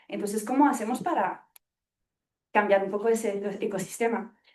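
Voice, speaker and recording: A woman at a fairly high pitch, fairly quick in pace, with ordinary pitch variation. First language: not Spanish (speaking Spanish). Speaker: evaluation consultant in international aid. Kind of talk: audience question at seminar. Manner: halting.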